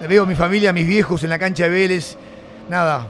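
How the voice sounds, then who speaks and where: With a Rioplatense accent, a man speaks at a moderate pace in a high voice. Noticeable background noise is present. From Argentina, Buenos Aires area (San Martín). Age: 60s. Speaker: former rugby player. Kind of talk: casual interview. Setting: studio. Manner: animated.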